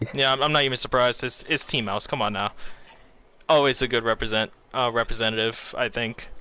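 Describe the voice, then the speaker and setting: A man talks very fast at a medium pitch with an American accent. His tone is animated, bright and sharp. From Bermuda. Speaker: esports commentator. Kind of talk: live commentary. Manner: casual, animated.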